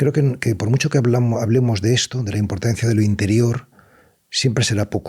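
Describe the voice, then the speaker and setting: A man at medium pitch, somewhat breathy, with fairly even intonation, very even loudness and a fairly quick pace. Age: 60s. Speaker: writer and meditation teacher. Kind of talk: interview. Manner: halting; reflective.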